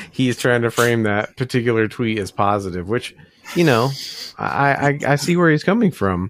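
A man's unremarkable speaking voice, medium in pitch, with lively intonation and an American accent. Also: moderate pace. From US South, Memphis, Tennessee. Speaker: podcast co-host. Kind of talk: casual chat.

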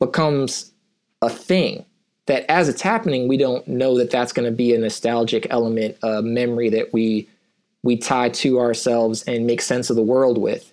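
With an unremarkable speaking voice, a man talks at a moderate pace and medium pitch, his intonation fairly even and his loudness very even. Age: 30s. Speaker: musician. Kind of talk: casual chat. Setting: rented studio, video call. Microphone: good microphone, local recording.

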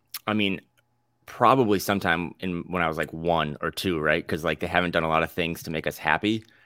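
Talking at a fairly quick pace, a man with a very deep, low voice sounds bright and sharp in tone on a very clean recording with a silent background. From North Dakota. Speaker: sports podcast co-host and basketball writer. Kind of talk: casual sports chat.

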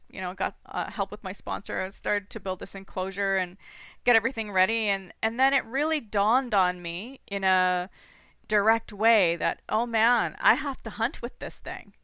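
Speaking in a normal speaking voice with a Canadian accent, a woman of medium pitch talks at a moderate pace with ordinary pitch variation on a very clean recording with a silent background. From Toronto, Canada. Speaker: falconer and hunter, graduate student scientist. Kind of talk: casual interview conversation.

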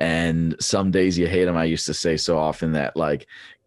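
Speaking at a moderate pace, this man has a Pennsylvania accent. His pitch is very deep and low. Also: quiet background. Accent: Pennsylvania American. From eastern Pennsylvania. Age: 30s. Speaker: former track cyclist and coach. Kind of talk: casual interview.

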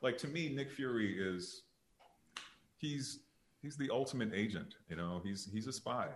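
A man with an American accent at a moderate pace, lively intonation and long, frequent pauses. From Detroit, Michigan. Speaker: actor. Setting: video call, live stream. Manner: animated.

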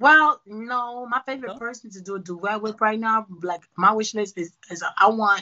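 Delivery comes at a fairly quick pace with ordinary pitch variation. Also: woman. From Brooklyn, New York. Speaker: singer-songwriter and producer. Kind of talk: casual podcast interview.

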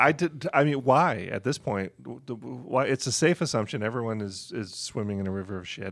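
In a plain, everyday voice, a man talks at a fairly quick pace with hardly any pauses, lively intonation at a medium pitch, and big swings in loudness. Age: 50s. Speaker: podcast producer. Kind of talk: casual chat. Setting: studio.

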